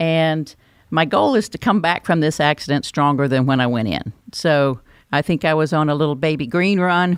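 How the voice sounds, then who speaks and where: A woman with a North Carolina accent and a very deep, low pitch. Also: ordinary pitch variation, moderate pace, very clean recording, silent background. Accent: Southern US (North Carolina). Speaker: podcast host, education expert. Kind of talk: podcast interview and sign-off.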